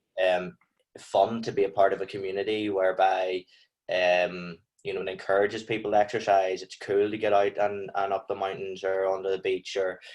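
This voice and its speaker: Speaking at a fairly quick pace, a man delivers his words in a fairly low pitch with monotone, flat intonation. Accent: strong Northern Irish. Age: 20s. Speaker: clothing brand founder. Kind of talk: podcast interview.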